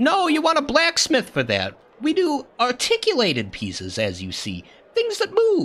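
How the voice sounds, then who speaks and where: Using a put-on character voice, a man speaks at a moderate pace at an extremely high pitch. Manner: proud, helpful.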